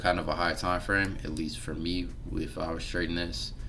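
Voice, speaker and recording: With music in the background and audible room echo, a man speaks with ordinary pitch variation. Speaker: forex trader and trading educator. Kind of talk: live-stream market analysis tutorial. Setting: live stream with background music. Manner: casual, filler-heavy; mumbling.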